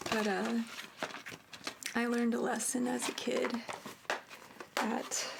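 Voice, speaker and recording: A soft-spoken woman, fairly high-pitched, very slow with long, frequent pauses, flat monotone delivery, very even loudness, noticeable background noise. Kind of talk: ASMR soft-spoken show and tell.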